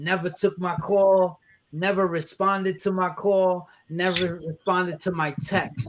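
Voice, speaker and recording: A man's high-pitched voice with a New York accent. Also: fairly slow pace. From New York, Brooklyn. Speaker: rapper and event host. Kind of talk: casual chat. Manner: animated; halting.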